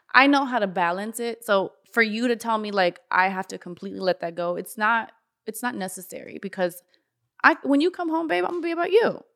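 A woman with a Miami accent talks at a fairly quick pace and a fairly high pitch, with very wide pitch swings and big swings in loudness. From US South, Florida (North Miami). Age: 30s. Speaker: makeup artist and entrepreneur. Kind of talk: casual chat.

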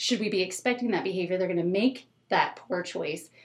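A woman with a plain, everyday voice speaks at a fairly quick pace, her medium pitch showing ordinary variation. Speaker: school educator, SEL expert. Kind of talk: casual interview chat.

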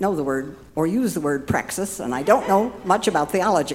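The intonation rises and falls in a lively way. Background music is audible. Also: woman. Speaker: church volunteer. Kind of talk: personal testimony.

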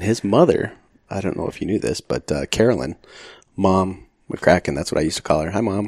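A man with an American accent and a very deep, low pitch talks at a fairly quick pace, using lively intonation and vocal fry, with a dry, close sound and no echo. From Arizona, Phoenix area. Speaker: retired firefighter. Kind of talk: casual interview.

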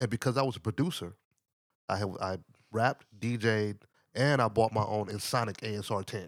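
A fairly low-pitched man with an American accent, at a fairly quick pace, with ordinary pitch variation and long, frequent pauses, in a dry, close sound with no echo on a very clean recording with a silent background. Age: 50s. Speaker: musician and radio DJ. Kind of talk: casual chat. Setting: studio.

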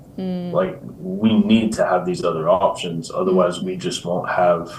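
Noticeable background noise and audible room echo surround a man speaking at a moderate pace with an American accent. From US Midwest (Iowa), then England from 15. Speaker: insurance agency executive, former pro soccer player. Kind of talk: interview.

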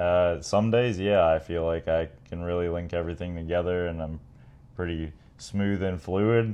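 With fairly even intonation and a very deep, low pitch, a man talks at a moderate pace. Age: 30s. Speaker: motocross racer and podcast co-host. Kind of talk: casual chat.

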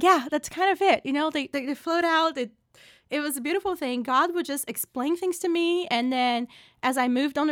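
The speaker has a Portuguese accent and ordinary pitch variation at a moderate pace. The recording is dry and close, with no echo. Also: woman. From Brazil. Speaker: political science professor. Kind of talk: interview. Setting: office.

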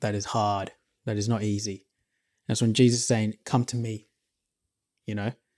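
A man with an Australian accent speaks at a fairly quick pace with a fairly low pitch and monotone, flat intonation, taking long, frequent pauses. The sound is dry and close with no echo on a very clean recording with a silent background. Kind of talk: casual Bible discussion.

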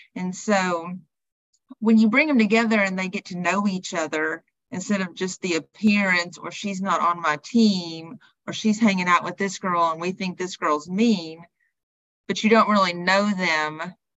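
Speaking at a moderate pace, a woman with a Southern US accent uses a medium pitch and ordinary pitch variation. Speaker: personal trainer and wellness coach. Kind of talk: podcast interview.

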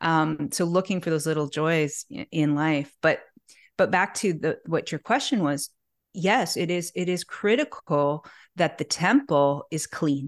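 A woman speaks at a fairly slow pace with a fairly low pitch and ordinary pitch variation, in a normal speaking voice. The background is quiet, and the sound is dry and close with no echo. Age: 40s. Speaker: natural health expert and author. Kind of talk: casual interview chat.

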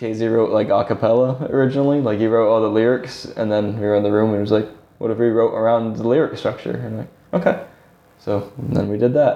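Speaking fairly quickly in an unremarkable speaking voice, a man with an American accent keeps a medium pitch and fairly even intonation. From Massachusetts, New Bedford. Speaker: guitarist in a band. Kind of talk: interview.

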